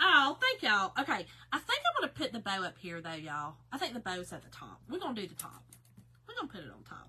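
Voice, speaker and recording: With a Southern US accent, a woman talks very fast at a high pitch with very wide pitch swings. Noticeable background noise runs under her voice. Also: big swings in loudness. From Kentucky. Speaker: craft live-stream host. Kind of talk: live stream craft tutorial. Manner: casual, chatty.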